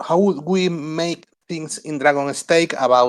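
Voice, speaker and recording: Talking at a fairly slow pace, a man speaks in a Spanish accent. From Spain. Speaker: node operator guest. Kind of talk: technical talk on a community call. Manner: halting.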